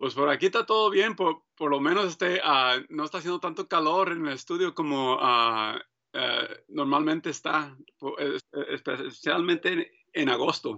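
A man speaks at a moderate pace in a fairly high voice with ordinary pitch variation. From Mexico (Michoacán), raised in US from age 7. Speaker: printmaker and painter. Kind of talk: interview. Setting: studio. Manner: halting, many fillers.

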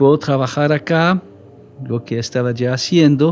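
Fairly slow speech with music in the background. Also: man. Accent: French. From French-speaking Switzerland. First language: French (speaking Spanish). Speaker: missionary. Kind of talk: casual chat.

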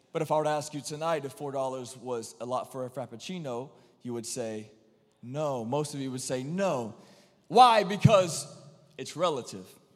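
Audible room echo surrounds a man with a fairly high pitch and ordinary pitch variation. He speaks at a moderate pace, with big swings in loudness. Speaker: preacher. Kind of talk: sermon. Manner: repetitive, emphatic; animated.

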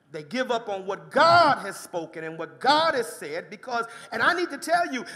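Over noticeable background noise, the animated voice moves at a moderate pace. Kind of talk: sermon. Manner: animated, call-and-response preaching with exclamations like "Come on, somebody"; emphatic, rhythmic, repeating key phrases.

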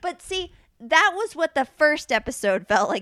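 In a very clean recording with a silent background, a woman speaks at a moderate pace in a bright, sharp tone, the sound dry and close without echo. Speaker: podcast co-host. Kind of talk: casual chat. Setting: studio. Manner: loud; animated.

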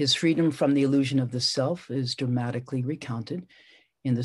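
This is a natural reading voice heard over a quiet background.

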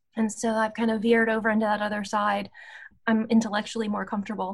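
This woman has an American accent. Her voice is somewhat breathy and fairly high in pitch. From US South, Appalachia (West Virginia/Virginia border). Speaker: anthropology professor. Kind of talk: interview.

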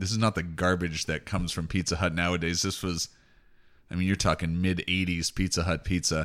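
A man's very deep, low voice comes through in a very clean recording with a silent background. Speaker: podcast host. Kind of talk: casual chat.

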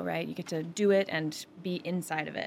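With vocal fry, a woman speaks at a moderate pace in a fairly low pitch. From Northampton, Massachusetts. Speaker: high school choir director. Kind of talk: casual radio interview. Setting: radio studio.

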